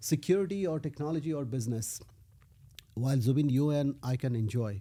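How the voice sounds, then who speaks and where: Somewhat breathy and dark, mellow in tone, a man's fairly high voice comes at a fairly quick pace. His pitch varies in an ordinary way. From India, Odisha (Puri). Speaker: tech executive. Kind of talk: interview conversation. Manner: animated storytelling.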